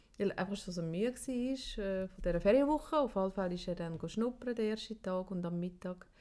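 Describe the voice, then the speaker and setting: At a fairly quick clip and with hardly any pauses, the voice has a dark, mellow tone, a Swiss accent and ordinary pitch variation. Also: woman, medium pitch for a woman. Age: 40s. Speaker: podcast co-host. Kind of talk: casual chat.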